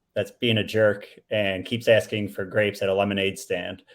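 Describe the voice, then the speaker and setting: A man with a Buffalo accent speaks at a moderate pace. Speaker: panel speaker, sales professional. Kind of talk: casual chat.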